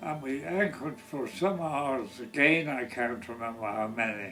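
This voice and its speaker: A man with an Irish accent at a very slow pace, music playing in the background. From Ireland. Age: 80s+. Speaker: war veteran. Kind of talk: interview answer.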